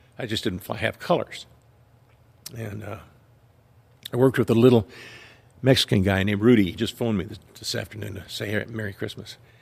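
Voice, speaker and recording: A man's somewhat breathy, fairly low voice in an American accent, very fast in pace yet broken by long, frequent pauses, with fairly even intonation. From Southern California. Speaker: retired police officer. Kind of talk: testimony.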